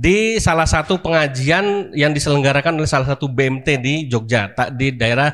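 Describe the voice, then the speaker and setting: With lively intonation and a fairly high pitch, a man uses a plain, everyday voice at a moderate pace. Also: very clean recording, silent background. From Jakarta, Indonesia. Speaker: Islamic preacher, boarding school founder. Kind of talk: religious talk to congregation. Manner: conversational, many fillers.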